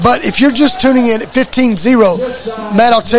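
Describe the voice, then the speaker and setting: Speaking at a moderate pace, a man with an extremely high pitch sounds energetic over noticeable background noise. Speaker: play-by-play radio announcer. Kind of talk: live play-by-play sports commentary. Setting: live radio broadcast from stadium. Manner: brisk, energetic play-by-play delivery.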